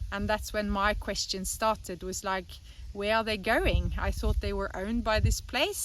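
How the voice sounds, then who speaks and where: A woman speaks in a Norwegian accent. Her pace is moderate. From Norway. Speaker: animal sanctuary co-founder. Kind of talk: personal testimony.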